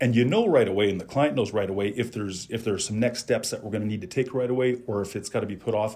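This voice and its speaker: This man's voice is somewhat breathy and sits at a medium pitch. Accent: Western Canadian. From Calgary, Alberta, Canada. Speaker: insurance advisor. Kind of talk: interview. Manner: halting, repeats words.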